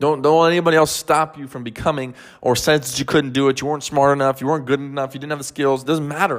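A man's fairly high, warm voice at a very fast pace, with fairly even intonation, on a very clean recording with a silent background. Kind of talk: pep talk. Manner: emphatic, motivational, direct address; warm, encouraging, coach-like.

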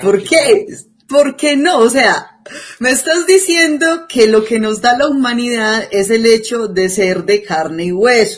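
The delivery is fairly slow, with very wide swings in pitch. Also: woman, fairly high pitch for a woman. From Colombia, Antioquia (La Ceja). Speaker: podcast co-host. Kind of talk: casual discussion.

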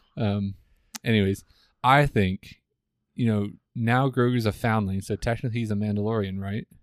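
Moderately paced speech with fairly even intonation and long, frequent pauses. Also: man, fairly low pitch for a man, very clean recording, silent background. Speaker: guest co-commentator. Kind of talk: casual chat.

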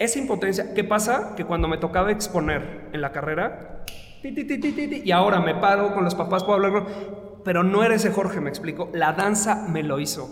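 A high-pitched man with a Mexican accent, lively intonation and hardly any pauses, amid audible room echo and noticeable background noise. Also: moderate pace. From Mexico. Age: 30s. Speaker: dance teacher and studio owner. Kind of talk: interview.

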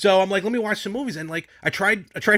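Loud and projected, a man speaks at high pitch and a fairly quick clip, his tone animated, bright and sharp. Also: very clean recording, silent background. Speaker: podcast host. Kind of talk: casual chat.

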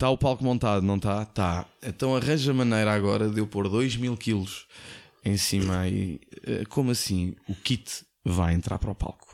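An unremarkable speaking voice from a man, fairly low in pitch with ordinary pitch variation, very even loudness and a moderate pace, in a very clean recording with a silent background. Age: 40s. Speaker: former radio host. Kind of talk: casual chat.

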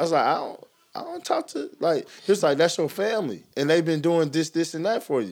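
With an ordinary speaking voice, a man talks at a moderate pace, his pitch fairly high and its variation ordinary. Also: very clean recording, silent background. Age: 30s. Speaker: podcast co-host and basketball trainer. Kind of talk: casual chat.

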